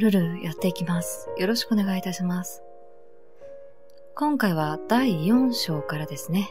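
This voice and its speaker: At a moderate pace, the speaker uses a calm tone while music plays in the background. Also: woman. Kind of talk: game playthrough read-aloud for sleep. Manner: soft-spoken, calm.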